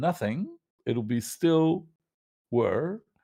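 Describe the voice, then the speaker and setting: The voice has a dark, mellow tone with lively intonation. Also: man. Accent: non-native. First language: not English. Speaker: panelist in atheist discussion. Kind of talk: casual debate discussion. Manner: halting, many fillers.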